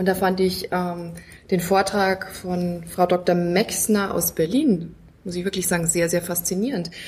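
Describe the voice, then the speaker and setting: A woman's somewhat breathy voice moves at a fairly slow pace. Her intonation is fairly even. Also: medium pitch for a woman. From Bavaria, near Munich. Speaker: self-help group member, patient. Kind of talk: casual chat. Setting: at a medical conference.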